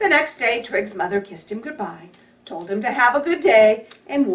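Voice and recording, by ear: Someone reads the text aloud in their natural voice, and the intonation is lively throughout.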